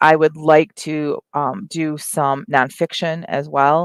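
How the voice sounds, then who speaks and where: In a very clean recording with a silent background, a woman's very deep, low voice sounds dry and close with no echo. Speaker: author and livestream host. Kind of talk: casual livestream chat. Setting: live stream from home over wi-fi. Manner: halting, with many fillers.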